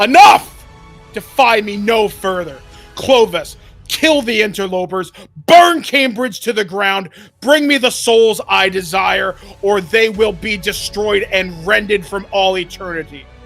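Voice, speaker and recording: With faint music in the background, a man uses a put-on character voice, high in pitch and fairly slow in pace. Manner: commanding, furious.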